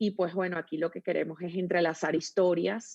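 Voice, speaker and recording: Over a quiet background, a woman with a Venezuelan accent speaks at a fairly low pitch with fairly even intonation, the sound dry and close with no echo. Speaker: storytelling consultant, agency founder. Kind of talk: interview.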